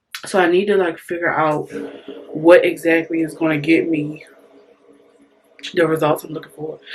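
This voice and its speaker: A woman with a fairly low pitch speaks at a moderate pace in a monotone, flat intonation, leaving long, frequent pauses. Her loudness swings a lot, and there is noticeable background noise. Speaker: beauty vlogger. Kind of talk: casual tutorial vlog.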